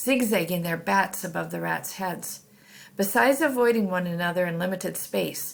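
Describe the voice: Simple reading aloud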